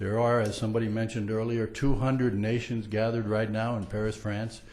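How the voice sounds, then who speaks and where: A man with a medium pitch speaks at a fairly quick pace in a monotone, flat intonation, with audible room echo. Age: 60s. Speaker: public commenter at city council meeting. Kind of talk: public comment speech. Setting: council chambers with audience. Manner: hesitant, many fillers.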